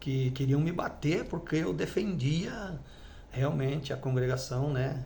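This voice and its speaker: The voice carries ordinary pitch variation and audible room echo. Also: man. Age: 60s. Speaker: former church elder. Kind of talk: testimony. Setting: at home with wife present. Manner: halting.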